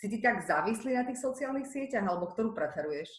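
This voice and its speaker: Speaking at a fairly quick pace with lively intonation, a woman is heard in a room with audible echo. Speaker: podcast host. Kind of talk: casual interview.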